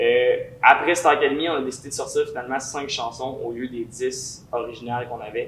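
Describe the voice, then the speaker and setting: Here a man speaks fairly quickly with a Quebec accent. His loudness swings widely. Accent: Québécois French. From Quebec, Lévis. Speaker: singer and musician. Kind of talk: interview. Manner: casual, many fillers.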